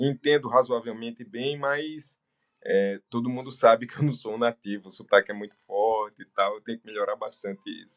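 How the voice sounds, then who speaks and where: Over a dry, close sound with no echo, a man of medium pitch speaks at a moderate pace with fairly even intonation and big swings in loudness. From Brazil, Northeast. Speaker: business owner and doctor. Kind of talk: interview. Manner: hesitant fillers.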